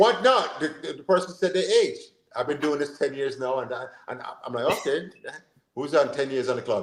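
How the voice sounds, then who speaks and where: The pace here is fairly quick. It comes with an American accent. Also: man. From Jamaica. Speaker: football coach and sports show host. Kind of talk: casual chat. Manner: animated.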